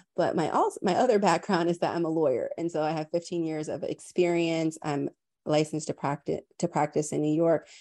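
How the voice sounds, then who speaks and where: Against a quiet background, a woman with an American accent and a fairly low pitch speaks at a fairly quick pace in a dark, mellow tone with fairly even intonation, the sound dry and close with no echo. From US South, Tampa, Florida. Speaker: lawyer and HR leader. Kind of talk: interview conversation.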